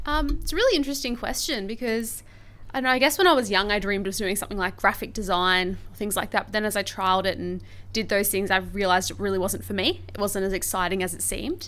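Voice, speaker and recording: In an Australian accent, a woman talks very fast with a bright, sharp tone, medium pitch, ordinary pitch variation and vocal fry. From Australia, Brisbane. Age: 20s. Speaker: teacher. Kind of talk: interview.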